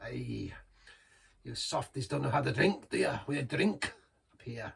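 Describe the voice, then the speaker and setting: In a put-on character voice with a Scottish accent, a raspy man speaks at a moderate pace with big swings in loudness. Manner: gruff, teasing.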